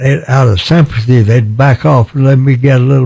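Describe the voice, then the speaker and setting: A somewhat breathy man speaks at medium pitch and a moderate pace. His intonation stays fairly even. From Texas, USA. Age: 80s+. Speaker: war veteran, former pilot and POW. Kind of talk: interview answer.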